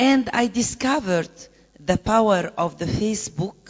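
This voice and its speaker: A woman with an Egyptian accent and lively intonation. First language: Arabic. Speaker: conference panelist, presidential candidate. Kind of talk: conference panel talk. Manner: halting.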